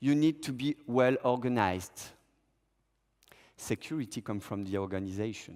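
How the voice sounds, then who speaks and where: A man's medium-pitched speech at a moderate pace, with ordinary pitch variation and long, frequent pauses. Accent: French. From Monaco. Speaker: freediver. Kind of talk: conference talk.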